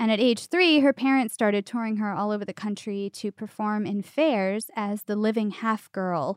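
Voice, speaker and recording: A woman talks at a moderate pace. The sound is dry and close with no echo, and the background is quiet. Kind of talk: mock carnival barker spiel in a casual chat.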